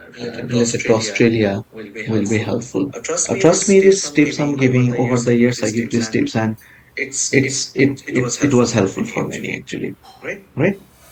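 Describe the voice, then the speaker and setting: Noticeable background noise accompanies a man speaking at a fairly slow pace and a medium pitch. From Asia. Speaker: medical exam tutor. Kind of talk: online lecture.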